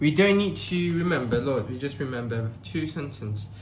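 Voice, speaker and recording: A somewhat breathy man's voice at medium pitch, with lively intonation and audible room echo. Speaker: tutor. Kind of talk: tutorial. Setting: live stream.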